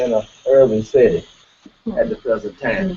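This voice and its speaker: A man talks with a Mississippi accent. His pitch varies in an ordinary way. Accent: US Southern, Mississippi. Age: 60s. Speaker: farmer and cooperative representative. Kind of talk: panel talk. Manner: halting.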